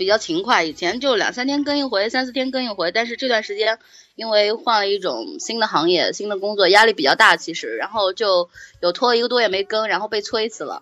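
Here a woman speaks at a fairly quick pace in a bright, sharp tone. Her pitch is fairly high, and her intonation is lively. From Anhui, central China (Hefei). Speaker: podcast host, storyteller. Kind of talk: casual interview.

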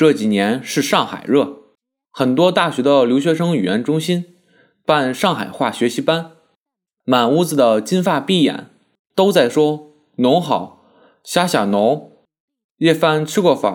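Recorded very cleanly against a silent background, a man speaks at a very slow pace with lively intonation and big swings in loudness. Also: fairly high pitch for a man. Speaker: essayist. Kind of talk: essay reading.

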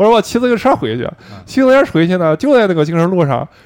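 His voice sits at a high pitch, and this man's delivery has very wide pitch swings. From Shandong, southern mountain area. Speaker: podcast co-host. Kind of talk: casual chat. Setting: karaoke room.

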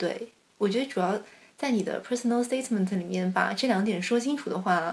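Fairly high-pitched and somewhat breathy, a woman talks at a fairly quick pace with ordinary pitch variation. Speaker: master's graduate. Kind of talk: casual chat.

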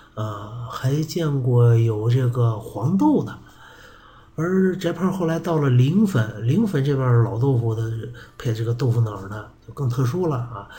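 In a room with audible echo, a man speaks fairly slowly at a medium pitch with lively intonation. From Shanxi, Yuci (Jinzhong). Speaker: podcast host. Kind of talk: casual monologue. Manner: weak, low-energy.

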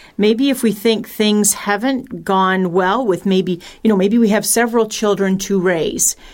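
In a plain, everyday voice, a woman of medium pitch speaks at a fairly slow pace with hardly any pauses, very even loudness and fairly even intonation on a very clean recording with a silent background. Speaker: radio show panelist, parent. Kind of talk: educational radio discussion.

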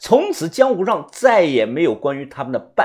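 Someone reads in a natural reading voice.

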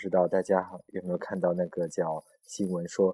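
The sound is dry and close, with no echo. A man with a dark, mellow tone speaks at a moderate pace. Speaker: podcast host. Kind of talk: casual chat. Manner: animated.

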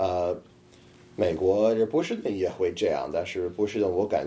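A man with a non-native accent speaks slowly-ish, at a fairly slow pace, with fairly low pitch and a dark, mellow tone. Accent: foreign speaker of Chinese, good fluency. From US, Boston. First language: English (speaking Chinese). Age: 20s. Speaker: comedian. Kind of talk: casual interview. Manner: halting, repetitive.

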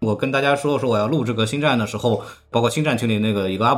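Over noticeable background noise, a man speaks at a very fast pace with a medium pitch and ordinary pitch variation. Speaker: podcast host. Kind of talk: casual chat. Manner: animated.

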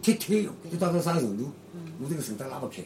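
Noticeable background noise sits behind a very fast delivery whose pitch swings very widely. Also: man. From Shanghai (Yangpu district). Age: 70s. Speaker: retired amateur footballer and former dancer. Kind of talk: oral history interview. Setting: home room in an alley.

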